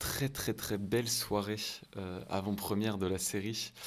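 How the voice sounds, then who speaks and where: Speaking in a flat monotone, a man uses a fairly low pitch. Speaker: film podcast host. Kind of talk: interview. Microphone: mic badly set, saturating heavily.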